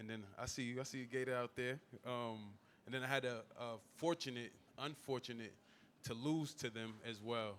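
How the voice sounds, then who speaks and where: A man in a New York accent with fairly even intonation. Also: medium pitch for a man, moderate pace. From Staten Island, New York. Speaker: former NFL player, business owner. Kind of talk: panel discussion. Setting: live event with audience.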